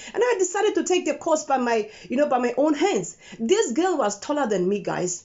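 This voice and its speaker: Noticeable background noise sits under an animated voice that moves at a moderate pace with very wide pitch swings. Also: woman. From Namibia. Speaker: YouTuber. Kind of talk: personal testimony vlog. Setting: filmed on phone. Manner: animated, emphatic; halting.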